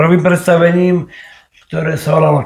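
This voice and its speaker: This is a man speaking. His voice is high-pitched. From Nitra, Slovakia. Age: 20s. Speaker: stage actor. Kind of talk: podcast interview answer. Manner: hesitant, repetitive phrasing.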